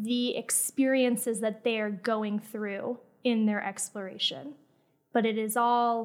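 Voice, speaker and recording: Here is a woman with an unremarkable speaking voice and an American accent. She talks at a fairly slow pace in a fairly high pitch, with fairly even intonation. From Florida. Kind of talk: interview. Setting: studio.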